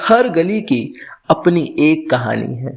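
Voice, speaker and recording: A man talks with lively intonation. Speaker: storyteller. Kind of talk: podcast story narration.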